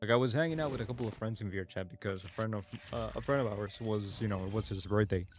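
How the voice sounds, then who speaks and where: Very fast speech from a man at a fairly low pitch with ordinary pitch variation, music in the background. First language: Spanish. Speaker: gaming streamer. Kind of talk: casual live-stream chat. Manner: halting, repeats words.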